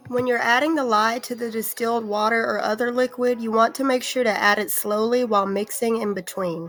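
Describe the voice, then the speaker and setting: Fairly even intonation, with music playing in the background. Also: woman, fairly high pitch for a woman. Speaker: soap maker. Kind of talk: tutorial talk to camera.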